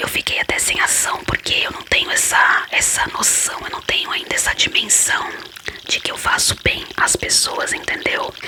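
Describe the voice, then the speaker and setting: Whispering at a moderate pace against noticeable background noise. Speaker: ASMR creator. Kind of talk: ASMR whispered Q&A talk. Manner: whispered.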